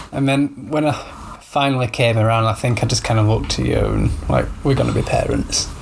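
Someone with a Yorkshire accent talks at a fairly quick pace with very even loudness. Audible room echo and noticeable background noise fill the recording. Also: man. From Yorkshire, northern England. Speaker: podcast host, new father. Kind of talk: casual chat. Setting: home, baby napping in the room.

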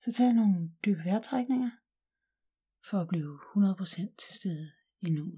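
A gentle, calm tone at a very slow pace, broken by long, frequent pauses. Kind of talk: guided meditation. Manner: slow, calm and soothing, with long pauses; soft-spoken, gentle and unhurried.

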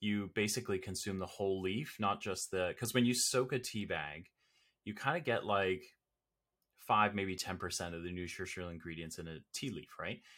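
A man with a Canadian accent, fairly low pitch, bright, sharp tone, ordinary pitch variation and moderate pace, in a very clean recording with a silent background. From Canada, Toronto area. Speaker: marketing consultant and professor. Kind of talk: casual interview.

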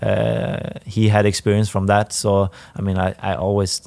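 With a Swedish accent, the speaker has a dark, mellow tone, fairly even intonation and a fairly slow pace. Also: man. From northern Sweden. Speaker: professional footballer. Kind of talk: interview. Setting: stadium.

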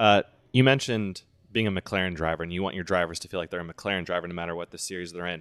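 In a Midwestern US accent, a man with a very deep, low pitch talks at a very fast pace with fairly even intonation and big swings in loudness, in a dry, close sound with no echo on a very clean recording with a silent background. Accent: US Midwest. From Indianapolis, US Midwest. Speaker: podcast host. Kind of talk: interview.

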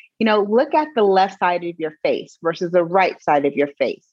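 A woman with an unremarkable speaking voice talks at a fairly quick pace, her pitch fairly low. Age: 40s. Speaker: fitness and wellness coach. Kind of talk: casual chat.

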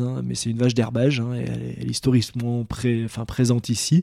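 A man speaks at a medium pitch. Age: 30s. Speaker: dairy farmer. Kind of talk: casual interview. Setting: on the farm. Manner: hesitant, many fillers.

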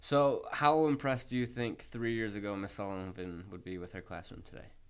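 A man talks in a plain, everyday voice at a medium pitch and a moderate pace. His intonation is lively, and his loudness swings widely. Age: 30s. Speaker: podcast host. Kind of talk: interview.

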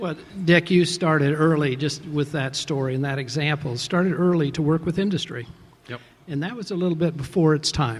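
Here is a man with an ordinary speaking voice, pitched fairly high. He moves at a fairly quick pace with ordinary pitch variation. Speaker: venture capital investor, interviewer. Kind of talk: interview on stage, questioning an honoree. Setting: award ceremony with audience.

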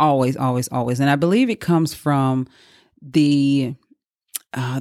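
A woman speaks with a Southern US accent. Her pitch is very deep and low, and her pace is fairly slow. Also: very clean recording, silent background. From Mississippi. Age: 40s. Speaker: podcast host, boudoir photographer. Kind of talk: casual monologue. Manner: rambling.

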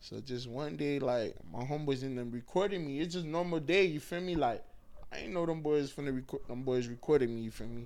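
The speech moves at a fairly quick pace with ordinary pitch variation. Room echo is audible. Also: man, fairly high pitch for a man. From Miami, Florida (Haitian family). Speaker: comedian. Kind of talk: casual interview.

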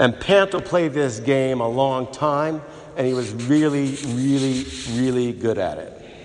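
A man's normal speaking voice at a medium pitch, with ordinary pitch variation and a fairly slow pace. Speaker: priest. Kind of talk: funeral homily, a personal eulogy woven with gospel reflection. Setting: church. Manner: warm, reminiscent storytelling with fond laughter; heartfelt, tender and reverent, building to a prayerful close.

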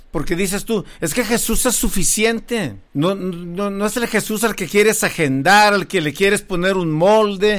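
Barely stopping for breath, a man speaks fairly slowly in a high voice with ordinary pitch variation. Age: 50s. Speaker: podcast host. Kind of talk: casual chat.

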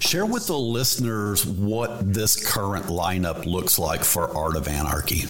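A man with a normal speaking voice and a fairly low pitch talks at a fairly slow pace, with very even loudness, ordinary pitch variation and hardly any pauses. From Texas. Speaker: podcast host. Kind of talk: casual interview.

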